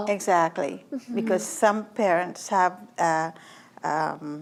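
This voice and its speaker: A woman with a fairly low pitch speaks with lively intonation and vocal fry. The recording is very clean, with a silent background. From Trinidad. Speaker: author and self-taught artist. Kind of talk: interview answer.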